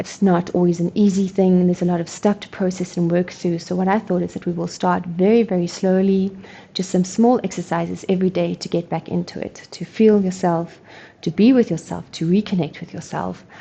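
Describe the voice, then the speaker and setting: Her voice medium-pitched and somewhat breathy, a woman speaks fairly quickly with a dark, mellow tone and monotone, flat intonation. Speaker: energy work instructor. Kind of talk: guided movement tutorial. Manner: fast; casual, hesitant.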